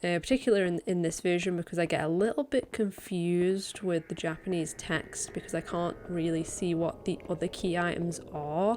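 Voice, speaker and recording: A quiet woman speaks at a moderate pace with hardly any pauses, fairly low pitch and ordinary pitch variation. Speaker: speedrunner and streamer. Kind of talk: gameplay voiceover commentary. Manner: quiet, keeping voice down; hesitant, many fillers.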